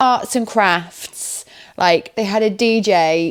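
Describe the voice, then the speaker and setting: The speaker is a woman. She has an English accent. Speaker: vlogger. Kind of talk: casual vlog chat. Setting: at home on the sofa.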